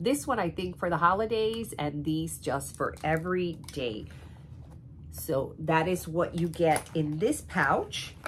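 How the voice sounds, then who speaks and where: A woman speaks at a very slow pace. Her voice has vocal fry. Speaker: beauty and luxury vlogger. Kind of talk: casual talk to camera.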